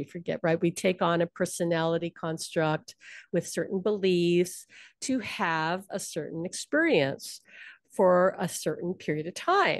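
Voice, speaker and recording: A woman with a Hawaiian accent speaks at a moderate pace in a fairly low voice with ordinary pitch variation, recorded dry and close with no echo against a quiet background. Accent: Hawaii American English. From Hawaii, Honolulu. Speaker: psychic medium. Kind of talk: interview.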